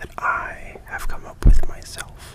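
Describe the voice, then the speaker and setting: Someone whispers at a fairly slow pace. Noticeable noise sits in the background. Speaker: ASMR creator and furry fandom photographer. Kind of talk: ASMR photography talk. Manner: soft-spoken.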